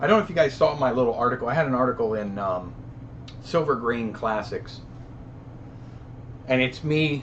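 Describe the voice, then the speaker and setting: A man speaks at a medium pitch with lively intonation. Long pauses come often. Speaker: live stream host, film camera collector. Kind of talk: casual live stream chat reading comments. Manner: fast.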